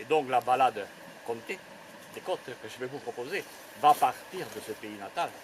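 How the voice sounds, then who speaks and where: Over noticeable background noise, a man speaks at a medium pitch and moderate pace with ordinary pitch variation, big swings in loudness and long, frequent pauses. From Grésigne forest area, Tarn, southern France. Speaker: storyteller. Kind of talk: oral storytelling performance to live audience.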